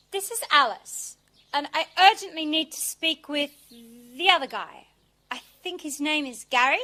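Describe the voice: A woman's put-on character voice, high, bright and sharp, at a fairly slow pace. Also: lively intonation.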